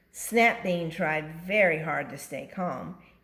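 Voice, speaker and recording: Fairly low in pitch, a woman with an ordinary speaking voice talks with ordinary pitch variation. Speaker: grandmother reading a picture book to her grandchild. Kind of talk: children's book reading.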